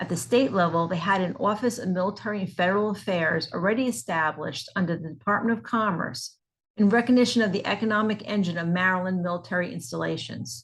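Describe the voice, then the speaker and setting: Speaking at a very fast pace with hardly any pauses, a woman uses lively intonation in a New Jersey accent. Her medium-pitched voice is somewhat breathy. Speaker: nonprofit executive director. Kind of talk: scripted promotional talk.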